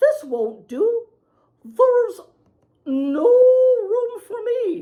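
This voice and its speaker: A woman's squeaky put-on character voice, extremely high in pitch and very slow. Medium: read story.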